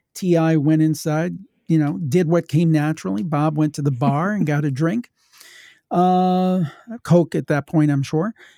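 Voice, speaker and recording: The voice has a dark, mellow tone and a Midwestern US accent at a moderate pace. The very clean recording has a silent background and a dry, close sound with no echo. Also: man, fairly high pitch for a man, ordinary pitch variation. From Ohio. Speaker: paranormal podcaster. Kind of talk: casual chat.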